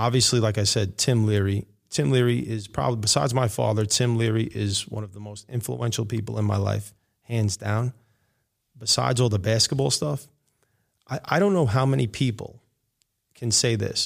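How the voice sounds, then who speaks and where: A man speaks with a New York accent at a moderate pace. His pitch is fairly low, with ordinary variation. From New York City, Queens. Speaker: high school basketball coach. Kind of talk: casual chat. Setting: classroom.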